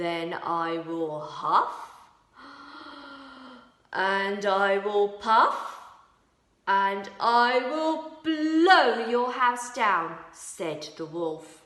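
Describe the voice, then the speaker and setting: Using a cartoonish character voice at medium pitch, a woman talks at a very slow pace with long, frequent pauses. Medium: puppet.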